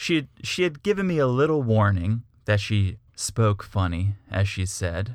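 A man talks at a fairly slow pace in an ordinary speaking voice. His pitch is fairly low and his intonation lively. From US Northeast, Connecticut. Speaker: podcast co-host. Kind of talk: casual chat.

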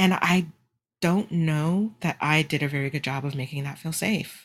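In a very clean recording with a silent background, a woman speaks at a moderate pace in a somewhat breathy voice, with ordinary pitch variation. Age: 40s. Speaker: podcast host. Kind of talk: personal monologue. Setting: live stream. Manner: halting.

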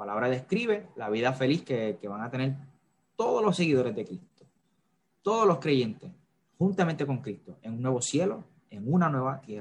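A somewhat breathy man speaks with long, frequent pauses, very wide swings in pitch and big swings in loudness. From Puerto Rico, Carolina. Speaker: theology student. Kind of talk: bible teaching in a live chat.

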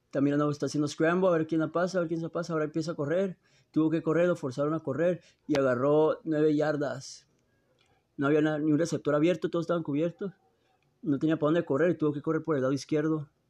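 Over a quiet background, a man with a fairly high pitch talks at a very fast pace. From Tijuana / San Diego border region. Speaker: podcaster commenting on NFL games. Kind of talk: live sports commentary while watching games. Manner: animated.

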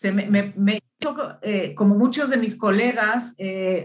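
The voice is somewhat breathy and moves at a very slow pace. Its intonation is fairly even. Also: woman. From Uruguay. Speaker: business founder and consultant. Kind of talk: interview. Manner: halting, many fillers.

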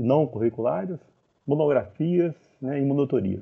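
A man with a normal speaking voice at medium pitch talks at a fairly slow pace with lively intonation. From Brazil, Minas Gerais (Divinópolis). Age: 50s. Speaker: chemical engineering professor. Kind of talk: interview.

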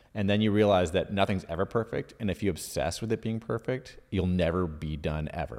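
With a Canadian accent and a plain, everyday voice, the speaker goes at a fairly quick pace with hardly any pauses and ordinary pitch variation. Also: man, fairly low pitch for a man. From Ottawa, Canada. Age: 40s. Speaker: video creator. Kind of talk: casual interview chat. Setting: studio.

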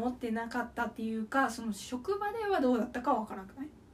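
A woman talks at a very fast pace, her high pitch making very wide swings. Noticeable background noise sits under her voice. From Okayama, Japan. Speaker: podcast co-host. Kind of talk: casual chat.

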